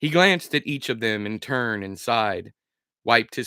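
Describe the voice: Against a quiet background, the text is given a plain reading aloud.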